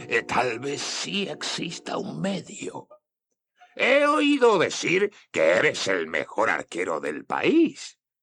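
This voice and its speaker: The voice is a put-on character. Its delivery crawls along very slowly. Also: man. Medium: read story. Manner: sneering, taunting.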